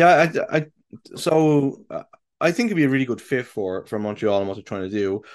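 Against a quiet background, a man with an Irish accent speaks at a medium pitch, his voice swinging very widely up and down. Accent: Irish, light lilt. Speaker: podcast host, football fan. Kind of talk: casual chat about football. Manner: halting, many fillers.

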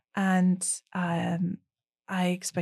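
Somewhat breathy woman's voice, fairly low in pitch, dry and close with no echo, on a very clean recording with a silent background. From Transylvania, Romania. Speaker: business founder and branding consultant. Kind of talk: casual interview conversation.

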